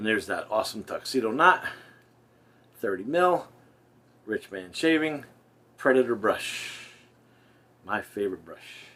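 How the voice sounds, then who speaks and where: Speaking with a New Jersey accent, a man uses very wide pitch swings and big swings in loudness, with long, frequent pauses. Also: medium pitch for a man, fairly slow pace. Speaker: wet shaving youtuber. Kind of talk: casual product review. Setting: bathroom at home. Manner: casual, rambling.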